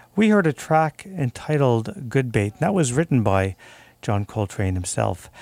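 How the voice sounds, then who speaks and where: Using a plain, everyday voice, a man talks at a fairly slow pace with lively intonation and a medium pitch, in a dry, close sound with no echo and a very clean recording with a silent background. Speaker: community radio jazz host. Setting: radio studio. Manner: warm, upbeat, informal.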